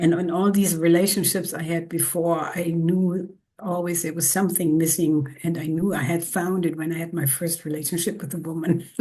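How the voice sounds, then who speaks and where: Over noticeable background noise, a woman with a German accent speaks at a moderate pace in a fairly low, monotone voice, with hardly any pauses. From northern Germany, near the Baltic Sea. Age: 70s. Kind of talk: interview. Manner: halting.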